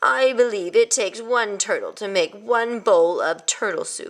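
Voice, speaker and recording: A female-sounding voice is put on as a character. It runs at a moderate pace with a fairly high pitch. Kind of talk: haughty, condescending. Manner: snooty.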